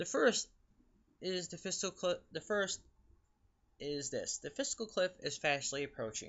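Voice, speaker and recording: With a high pitch and lively intonation, a man talks at a fairly slow pace, leaving long, frequent pauses. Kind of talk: reading a letter aloud. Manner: stutters when reading aloud.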